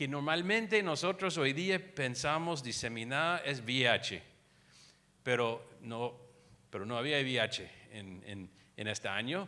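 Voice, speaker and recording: Speaking fairly slowly, a man with a bright, sharp tone and medium pitch makes very wide pitch swings, on a very clean recording with a silent background. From United States. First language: English (speaking Spanish). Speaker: infectious disease physician. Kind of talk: lecture. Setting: conference room with audience. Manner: halting, frequent repetitions and fillers.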